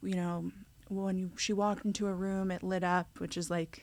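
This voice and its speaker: Against a silent background in a very clean recording, a woman with an American accent speaks in a monotone, flat intonation. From Staten Island, New York. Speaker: nail artist and mother. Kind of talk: casual chat. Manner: casual with many fillers.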